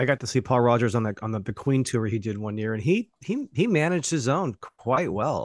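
Lively intonation marks this man's fairly quick speech in an American accent. The sound is dry and close, with no echo. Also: medium pitch for a man. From Watsonville, California, US. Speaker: podcast host. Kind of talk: casual interview.

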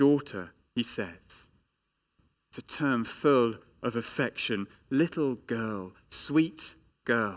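Very slow and marked by long, frequent pauses, a man speaks with an English accent at medium pitch and ordinary pitch variation, on a very clean recording with a silent background. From England. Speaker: pastor. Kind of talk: sermon.

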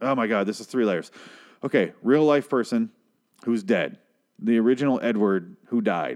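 Man at a medium pitch, animated in tone with lively intonation and long, frequent pauses, over a quiet background. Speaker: TV review podcaster. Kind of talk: solo TV episode review. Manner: fast.

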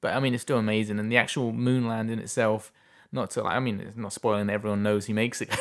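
A man with an English accent, very fast and monotone with flat intonation at a medium pitch, on a very clean recording with a silent background. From England. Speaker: independent filmmaker and film festival director. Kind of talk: casual interview chat. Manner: laughs often.

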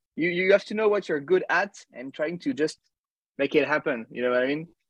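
A man speaks at a moderate pace with very wide pitch swings. The sound is dry and close with no echo. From France, near Paris. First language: French. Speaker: musician. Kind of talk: interview. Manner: halting.

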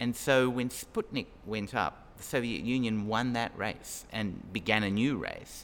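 In a normal speaking voice, a man talks fairly slowly at a medium pitch with fairly even intonation. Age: 60s. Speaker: law professor. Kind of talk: interview.

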